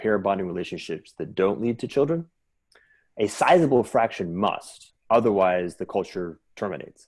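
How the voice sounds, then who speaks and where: On a very clean recording with a silent background, a man with a fairly low pitch speaks at a moderate pace with lively intonation. He has an unremarkable speaking voice. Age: 50s. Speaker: futurist thinker discussing civilization design. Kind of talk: intellectual conversation. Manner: repetitive false starts.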